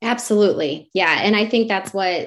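With an American accent, the speaker uses a normal speaking voice at a moderate pace. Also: woman. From Wisconsin, rural US Midwest. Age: 40s. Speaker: success coach, former teacher. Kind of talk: interview.

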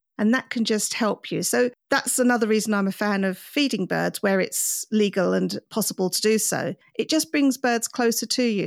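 A woman with an English accent at a fairly quick pace, hardly any pauses and very even loudness, a very clean recording with a silent background and a dry, close sound with no echo. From England. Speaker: podcast host, birder. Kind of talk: interview.

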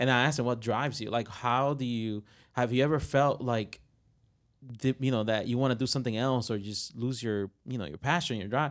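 With a Spanish accent, a man speaks at a fairly quick pace and medium pitch with ordinary pitch variation, on a very clean recording with a silent background. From Puerto Rico. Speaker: marketing agency professional. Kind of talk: panel discussion.

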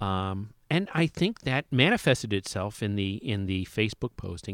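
In an American accent, a man with a plain, everyday voice speaks at a fairly low pitch and a moderate pace with lively intonation, the sound dry and close with no echo on a very clean recording with a silent background. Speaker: longtime comic shop customer. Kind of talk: casual chat. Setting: studio.

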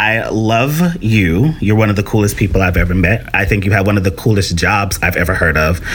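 Speaking at a fairly quick pace with very even loudness, a man with a fairly low pitch is heard over noticeable background noise. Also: ordinary pitch variation, hardly any pauses. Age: 40s. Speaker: podcast host. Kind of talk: casual interview.

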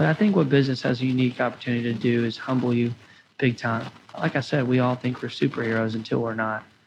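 Moving at a fairly quick pace, a man has an unremarkable speaking voice at medium pitch with fairly even intonation. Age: 20s. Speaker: restaurant owner. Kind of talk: interview.

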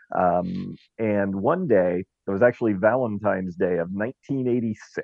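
A man speaks in an ordinary speaking voice. His pitch is fairly low, with ordinary variation. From Southern California (Orange County). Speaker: talk radio host. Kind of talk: casual interview chat. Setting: Clubhouse audio room.

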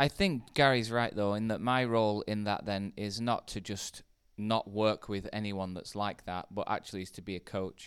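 A man with a British accent speaks at a moderate pace with a fairly low pitch and fairly even intonation, on a very clean recording with a silent background. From UK. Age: 40s. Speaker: pastor. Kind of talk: casual chat.

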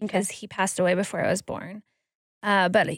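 The recording is very clean, with a silent background. A woman speaks with vocal fry. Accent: American. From Wisconsin, Green Bay. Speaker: guest, mother. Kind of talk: casual chat.

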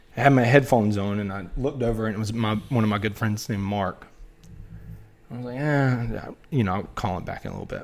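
A man with a fairly low voice and a Southern US accent. He talks very fast, with ordinary rise and fall in pitch. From US South, North Carolina (Wilmington). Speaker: former college baseball player. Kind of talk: casual chat.

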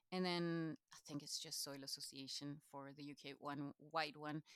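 A woman with a Chilean accent speaks very slowly, her pitch very deep and low and her intonation fairly even. The sound is dry and close, with no echo. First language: Spanish. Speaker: knowledge exchange manager at a farming charity. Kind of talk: interview conversation.

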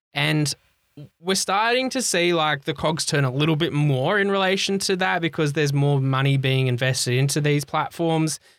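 A man with an Australian accent talks in a fairly high pitch. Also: ordinary pitch variation, moderate pace, very even loudness. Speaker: health tech podcaster and CEO. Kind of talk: casual interview.

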